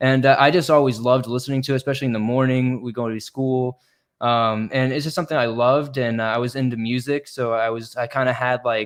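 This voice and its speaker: Against a quiet background, a man with an American accent talks at a very fast pace. His medium-pitched voice stays monotone, with flat intonation. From Florida. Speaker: horror story narrator and YouTuber. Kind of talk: casual interview chat.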